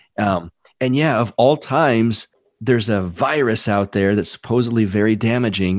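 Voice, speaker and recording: A normal speaking voice at a moderate pace, dry and close with no echo, in a very clean recording with a silent background. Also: man. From Texas. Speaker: firefighter and podcaster. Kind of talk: casual chat.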